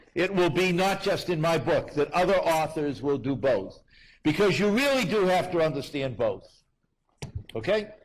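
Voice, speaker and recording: A man with an American accent talks at a fairly slow pace in a high pitch. The room echo is audible. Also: very even loudness. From United States. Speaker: university lecturer, author. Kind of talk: public lecture Q&A.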